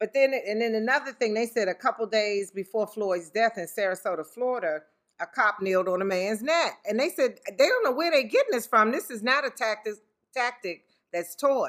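Using a plain, everyday voice, a woman with fairly high pitch speaks at a moderate pace with lively intonation. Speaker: podcast co-host, mother. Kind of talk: casual chat.

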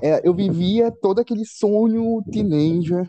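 The man's voice has a dark, mellow tone. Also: dry, close sound with no echo. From Brazil, Belém (Pará). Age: 20s. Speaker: podcast host. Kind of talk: casual chat. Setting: home kitchen.

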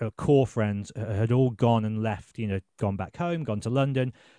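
A man with a Birmingham accent, medium pitch, ordinary pitch variation and a dark, mellow tone, at a moderate pace, with a dry, close sound with no echo and a quiet background. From England, Birmingham. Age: 30s. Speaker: journalist and podcast host. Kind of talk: casual chat.

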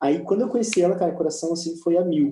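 Here a man speaks at a high pitch and a fairly quick pace, his tone dark and mellow. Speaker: church leader. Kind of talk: casual chat. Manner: animated.

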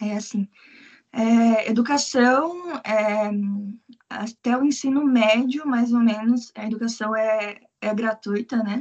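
A woman's fairly high voice, very slow in pace, with fairly even intonation. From Brazil, Curitiba. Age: 20s. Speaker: English teacher living abroad. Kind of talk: casual interview.

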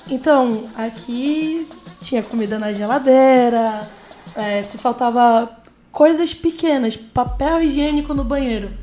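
A woman with a high voice talks very slowly, her loudness swinging widely. Noticeable background noise is present. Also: ordinary pitch variation. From Amazonas, northern Brazil. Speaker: university student. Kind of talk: casual interview.

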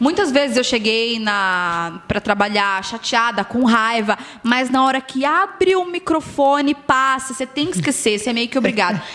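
A woman with a high pitch and a bright, sharp tone speaks at a moderate pace. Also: lively intonation. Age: 30s. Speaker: radio announcer. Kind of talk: casual chat. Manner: talkative, radio-announcer delivery.

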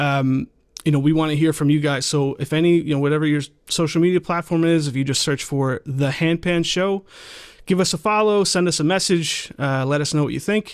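Here is a man with an unremarkable speaking voice, fairly high in pitch, with ordinary pitch variation. He talks at a fairly quick pace and keeps his loudness very even. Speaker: podcast host. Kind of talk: casual chat.

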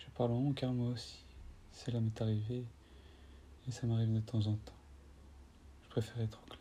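A man speaks at a moderate pace and medium pitch, his dark, mellow tone somewhat breathy and monotone, with long, frequent pauses and big swings in loudness. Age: 20s. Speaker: spiritual podcaster. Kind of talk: improvised spiritual monologue with guided breathing. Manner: halting, repeats words.

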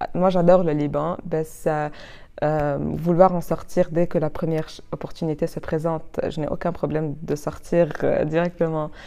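Against a quiet background, a woman with a very deep, low voice and a dark, mellow tone speaks at a moderate pace in a flat monotone. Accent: Arabic. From Lebanon, Chouf region. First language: Arabic (speaking French). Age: 20s. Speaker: law student. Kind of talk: interview. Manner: halting, many repetitions.

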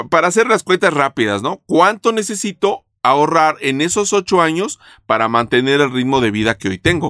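Bright and sharp in tone, a man's fairly high voice makes very wide pitch swings at a moderate pace with hardly any pauses, in a dry, close sound with no echo. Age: 50s. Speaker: insurance podcast host. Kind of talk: casual interview.

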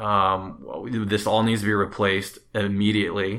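A man's voice is fairly low-pitched with a bright, sharp tone. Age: 30s. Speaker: first-time home buyer. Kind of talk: interview.

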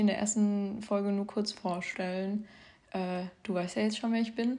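At a moderate pace, a woman speaks in a dark, mellow tone at medium pitch, her intonation monotone and flat. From southern Hesse, Germany. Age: young. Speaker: podcast host sharing eating disorder recovery. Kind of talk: casual monologue. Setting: home, her bedroom. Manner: spontaneous, unscripted with many fillers.

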